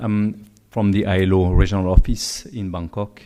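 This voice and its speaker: On a very clean recording with a silent background, a man with a Swiss French accent speaks at a moderate pace in a fairly low, dark, mellow voice with monotone, flat intonation. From French-speaking Switzerland. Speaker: UN agency official, conference speaker. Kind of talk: conference talk. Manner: hesitant, with fillers.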